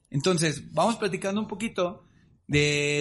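Against a quiet background, a man with a Mexican accent speaks at a high pitch. His pace is moderate, with ordinary pitch variation. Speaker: podcast co-host. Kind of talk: casual chat. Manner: stammering, repeats words.

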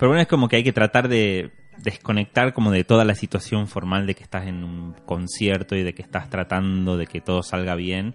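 Over a quiet background with a dry, close sound and no echo, a man in an ordinary speaking voice talks at a fairly quick pace with hardly any pauses, his fairly low pitch showing ordinary variation while his loudness swings widely. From Argentina, Tucumán (Simoca). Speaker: musician and producer. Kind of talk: interview conversation.

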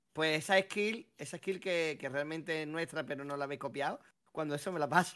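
With a bright, sharp tone, a man talks at a fairly quick pace and a fairly high pitch with ordinary pitch variation. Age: 30s. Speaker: podcast co-host. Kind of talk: casual chat.

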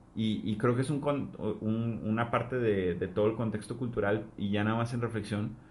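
Audible room echo surrounds a voice that moves at a moderate pace with fairly even intonation. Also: man. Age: 20s. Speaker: podcast co-host. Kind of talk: casual chat.

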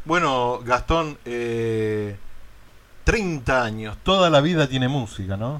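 A man at a medium pitch, very slow pace and lively intonation. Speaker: radio host. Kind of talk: radio interview.

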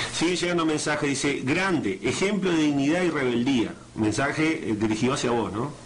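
Lively intonation carries speech at a fairly quick pace, with very even loudness. Noticeable background noise and audible room echo are present. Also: man, fairly high pitch for a man. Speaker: radio host. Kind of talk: radio interview. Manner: halting.

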